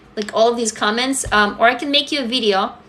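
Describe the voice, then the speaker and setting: Noticeable background noise sits behind a voice with a Russian accent. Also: woman. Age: 40s. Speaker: writer and social media creator. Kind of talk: livestream chat answering comments. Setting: TikTok live stream. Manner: animated.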